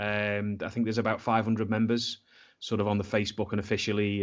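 In a Scouse accent, a man talks at a very fast pace. His pitch is fairly low. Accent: Scouse (Liverpool English). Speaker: football supporters' club member. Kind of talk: casual chat.

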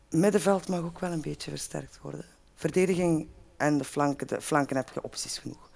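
Her voice is very deep and low for a woman, with vocal fry, fairly even intonation and a fairly quick pace. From Belgium, Lier (Antwerp province). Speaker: football supporter pundit. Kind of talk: casual chat.

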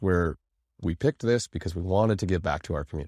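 Speaking at a fairly quick pace, a man with a very deep, low pitch and ordinary pitch variation is heard in a very clean recording with a silent background and a dry, close sound with no echo. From Canada. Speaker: podcast host. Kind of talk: casual interview. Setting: filmed studio recording.

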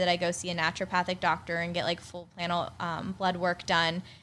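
Fairly low-pitched woman with an American accent, moderate pace, monotone and flat intonation, and a very clean recording with a silent background. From Pittsburgh, Pennsylvania. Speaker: skincare entrepreneur. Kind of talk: casual interview chat. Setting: studio, in person.

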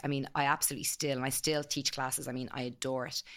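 On a very clean recording with a silent background, a woman with an Irish accent speaks at a very deep, low pitch. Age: 40s. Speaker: clothing brand founder. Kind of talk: casual interview.

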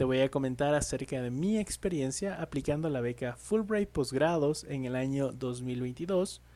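A man talks at a fairly slow pace with hardly any pauses. His tone is dark and mellow. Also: fairly high pitch for a man, ordinary pitch variation. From Ecuador. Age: 30s. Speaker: podcast host, banking consultant. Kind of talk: solo podcast introduction.

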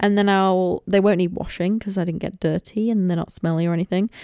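In a Lincolnshire accent, a woman speaks at a moderate pace and medium pitch with a dark, mellow tone and monotone, flat intonation, in a dry, close sound with no echo and a very clean recording over a silent background. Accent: northern English (Lincolnshire). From northern England, Lincolnshire coast. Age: 20s. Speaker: podcaster, university student. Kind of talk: casual solo podcast chat. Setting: recording alone at home. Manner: chatty, rambling.

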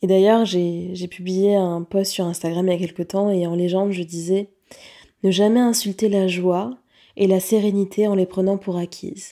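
At a medium pitch, a woman with a dark, mellow tone speaks at a moderate pace in a flat monotone, on a very clean recording with a silent background. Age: 30s. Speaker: life coach and podcast host. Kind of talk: solo reflective monologue. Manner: hesitant, many fillers.

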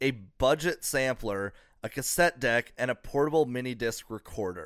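At a moderate pace, a man speaks in a medium pitch with ordinary pitch variation on a very clean recording with a silent background. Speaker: comedian and podcast host. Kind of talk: casual comedic chat. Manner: halting, many fillers and restarts.

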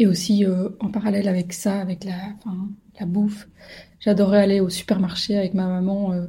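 Dark, mellow, somewhat breathy speech at a moderate pace, monotone and flat, with long, frequent pauses. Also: woman, medium pitch for a woman. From Belgium, Brussels. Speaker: podcast host. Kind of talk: personal monologue. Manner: hesitant, many filler sounds.

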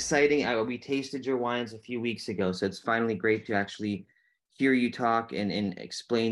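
A man with a normal speaking voice talks fairly quickly at a medium pitch, his intonation fairly even, against a quiet background. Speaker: podcast host. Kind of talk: interview.

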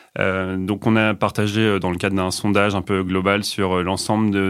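A man at a moderate pace, with a fairly low pitch and monotone, flat intonation. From Normandy, France (Rouen). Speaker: internal communications manager. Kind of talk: interview. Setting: studio. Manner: halting.

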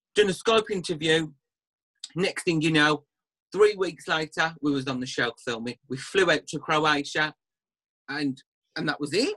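Pausing long and often, a man speaks at a moderate pace and fairly high pitch in a bright, sharp tone, the sound dry and close with no echo. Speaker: aesthetics practitioner and TV personality. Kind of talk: casual chat. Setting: video call, drinking wine during lockdown. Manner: relaxed, swears casually.

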